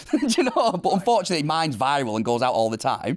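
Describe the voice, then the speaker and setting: A man talks in a northern English accent. His pace is fairly quick. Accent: broad northern English. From northern England. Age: 30s. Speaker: viral meme subject. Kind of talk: interview. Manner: halting, many repetitions.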